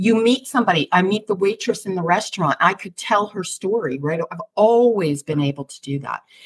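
A woman talks at a fairly quick pace with hardly any pauses, her medium-pitched voice somewhat breathy, animated in tone, and lively in intonation. Her loudness swings widely, and the sound is dry and close with no echo. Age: 60s. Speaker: intuition coach for women business owners. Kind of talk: podcast interview.

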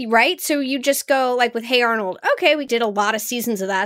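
Upbeat and bubbly, a woman speaks at a fairly high pitch with lively intonation. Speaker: voice actor. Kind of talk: casual chat. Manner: upbeat, bubbly.

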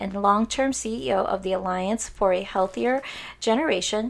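A woman with an unremarkable speaking voice, medium pitch and moderate pace. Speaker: podcast host.

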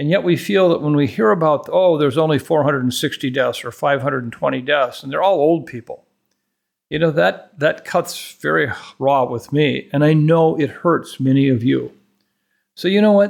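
Pitch varies in an ordinary way as an unremarkable speaking voice talks at a moderate pace. Behind it, the background is silent on a very clean recording. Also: man, fairly high pitch for a man. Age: 60s. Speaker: infectious disease expert. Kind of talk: expert interview.

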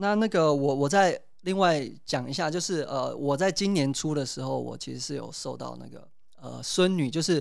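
At a moderate pace, the speaker's loudness swings widely on a very clean recording with a silent background. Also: man. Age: 30s. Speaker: potter and hepatitis C patient. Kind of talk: interview testimony.

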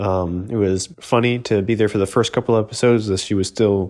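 The background is quiet as a man talks in an ordinary speaking voice. His pitch is fairly low, his intonation fairly even, his pace moderate. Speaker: tabletop game podcast player. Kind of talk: scripted narration.

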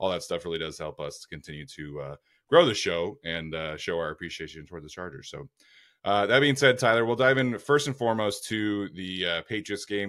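On a very clean recording with a silent background, a man talks at a fairly quick pace in an ordinary speaking voice. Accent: American. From Utah. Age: 20s. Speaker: football podcast host. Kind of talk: casual chat.

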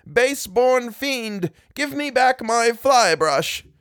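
In a very clean recording with a silent background, a man puts on a character voice at an extremely high pitch, with a fairly bright tone, lively intonation and a slow pace.

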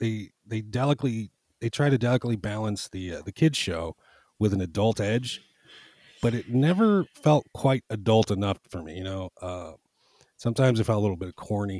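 On a very clean recording with a silent background, a man speaks in a normal speaking voice at medium pitch and a moderate pace, with lively intonation and big swings in loudness. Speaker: podcast guest. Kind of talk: casual chat.

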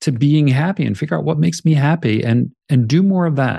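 Lively intonation marks a man's somewhat breathy voice with a dark, mellow tone. His pitch is fairly high and his pace fairly quick. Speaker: coach and author. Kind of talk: interview conversation.

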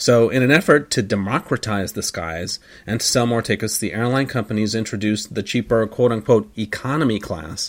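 On a very clean recording with a silent background, a plain, everyday voice shows ordinary pitch variation and moves at a fairly quick pace. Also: man. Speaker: airline ops manager. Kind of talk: casual podcast chat. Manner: chatty, joking.

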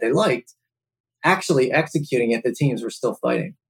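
A man with an American accent talks at a very fast pace in a somewhat breathy voice, with a dry, close sound and no echo. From Philadelphia area. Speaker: logistics company co-founder. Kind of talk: casual interview.

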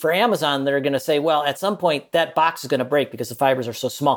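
Here a man with an American accent has a fairly high pitch and ordinary pitch variation. His is an unremarkable speaking voice. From US Midwest, Minnesota. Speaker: journalist and author. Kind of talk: interview.

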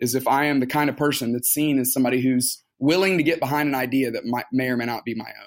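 Delivered at a very fast pace with hardly any pauses, the speech has an American accent, fairly even intonation and big swings in loudness. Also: man, medium pitch for a man. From US South, Tuscaloosa, Alabama. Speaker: pastor. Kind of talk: interview.

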